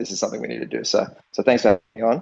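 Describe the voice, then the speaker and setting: Very fast speech from a man in an Australian accent. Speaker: NFT project co-founder. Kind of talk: casual interview chat. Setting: online audio room. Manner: filler-heavy, halting.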